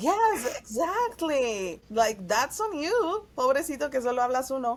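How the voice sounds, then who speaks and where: A woman speaks at a high pitch and a fairly slow pace. Her pitch swings very widely. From Mexico City. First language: Spanish. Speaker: actress and singer. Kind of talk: casual chat.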